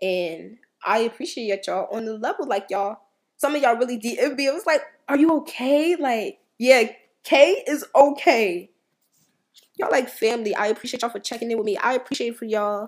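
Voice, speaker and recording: A woman speaks in a high pitch at a fairly quick pace. Her tone is animated and her intonation lively. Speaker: motivational speaker / social media creator. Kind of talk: motivational monologue.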